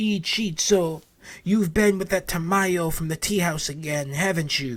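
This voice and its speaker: A man speaks in a put-on character voice. His pitch is high, and his pace is moderate. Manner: spooky, accusing.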